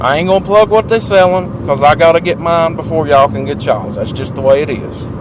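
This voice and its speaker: Noticeable background noise sits behind a man with a southern Appalachian accent. He talks at a fairly quick pace with lively intonation. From southwest Virginia. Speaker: vlogger. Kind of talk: casual chat. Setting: in a car. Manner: animated.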